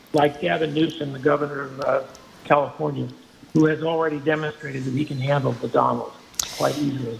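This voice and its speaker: Over noticeable background noise, a man talks at a fairly quick pace in a fairly high pitch, his intonation fairly even. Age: 80s+. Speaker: caller. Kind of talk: call-in opinion.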